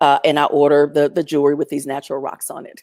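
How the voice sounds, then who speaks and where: A woman talks at a very fast pace. Her voice is very deep and low in pitch. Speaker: storyteller. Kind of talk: storytelling. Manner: loud.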